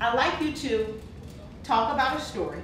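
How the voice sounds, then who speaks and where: A woman's high-pitched voice at a moderate pace, over noticeable background noise. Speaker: leadership speaker and presentation coach. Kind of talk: coaching feedback to a speaker.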